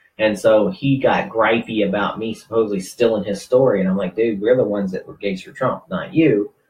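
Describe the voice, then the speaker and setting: At a fairly quick pace with hardly any pauses, a man speaks with a fairly low pitch and ordinary pitch variation. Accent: Southern US. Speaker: radio host, activist group founder. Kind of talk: casual chat. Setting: live internet radio stream.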